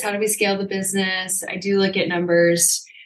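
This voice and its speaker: This woman has a plain, everyday voice, medium in pitch, moving at a fairly quick pace with fairly even intonation. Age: 30s. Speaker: fitness company founder. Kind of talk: casual chat.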